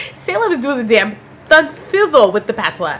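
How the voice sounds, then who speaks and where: High female speech amid noticeable background noise. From Canada. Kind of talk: casual talk to camera.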